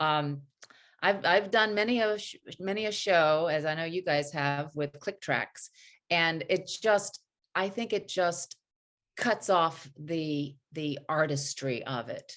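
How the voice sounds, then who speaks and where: A woman with an American accent, fairly low in pitch with ordinary pitch variation, speaking very slowly against a quiet background. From US South (North Carolina, Tennessee). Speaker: actress and singer. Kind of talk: interview.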